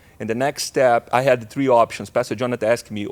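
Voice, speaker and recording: A man with a Brazilian accent speaks at a fairly quick pace and medium pitch with fairly even intonation, in a very clean, dry, close recording with a silent background and no echo. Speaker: pastor. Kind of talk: casual chat.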